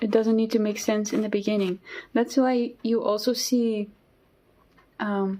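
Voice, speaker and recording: This woman's voice has a dark, mellow tone and a fairly high pitch, with fairly even intonation at a moderate pace. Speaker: artist. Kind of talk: casual chat while drawing. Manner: hesitant, many fillers.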